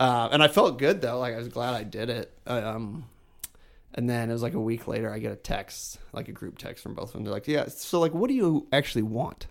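With ordinary pitch variation, this is a plain, everyday voice. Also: man, medium pitch for a man. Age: 30s. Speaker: guest sharing family reconciliation story. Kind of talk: casual chat.

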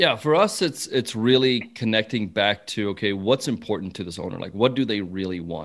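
An unremarkable speaking voice, a man's, runs at a fairly quick pace with hardly any pauses and big swings in loudness, his fairly low pitch showing ordinary variation, in a very clean recording with a silent background. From South Africa, moved to rural Texas at 14. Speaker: business consultant. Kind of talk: interview. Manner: casual.

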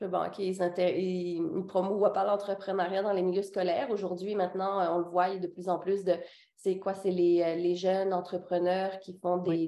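A woman speaks at a fairly slow pace in a medium pitch. Her tone is dark and mellow, and her intonation is monotone and flat. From Réunion island. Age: 20s. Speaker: boutique owner, entrepreneur. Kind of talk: casual interview.

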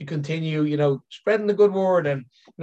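With an Irish accent, a man speaks at a very fast pace. His pitch is fairly high. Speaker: elephant care consultant. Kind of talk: interview. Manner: halting, repeats words.

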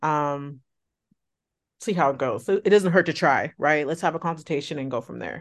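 A woman speaks with a very deep, low pitch and ordinary pitch variation against a quiet background. Her pace is moderate, with long, frequent pauses. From California, Bay Area. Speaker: former coaching client, single mother. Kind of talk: interview. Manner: casual.

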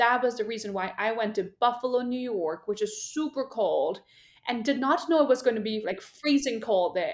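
A woman with an Indian accent speaks in an animated tone at a moderate pace, using ordinary pitch variation, in a very clean recording with a silent background. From northern India. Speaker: marketing leader. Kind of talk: interview.

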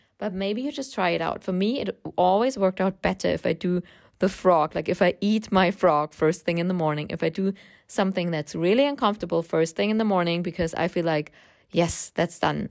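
A woman with a German accent talks at a fairly quick pace, her medium pitch showing ordinary pitch variation. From Germany. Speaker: podcast host and freelance writing coach. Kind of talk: solo podcast monologue.

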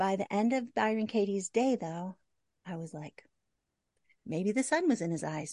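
At a moderate pace, a woman with a medium-pitched, dark, mellow voice and lively intonation speaks in a dry, close sound with no echo and a quiet background. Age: 50s. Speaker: graphic designer and photographer. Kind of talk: casual interview chat.

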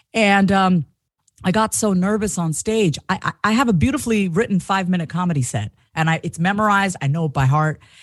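A woman with an American accent speaks at a fairly quick pace, her medium-pitched voice somewhat breathy. Her intonation is lively, and the background is quiet. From Long Island, New York. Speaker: confidence coach and comedian. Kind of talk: interview, personal testimony.

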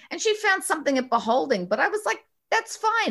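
The speaker has a slight New York accent and a fairly quick pace. Pitch swings very widely throughout. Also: woman. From New York, Westchester County. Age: 60s. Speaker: bridal shop owner. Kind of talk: interview. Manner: animated.

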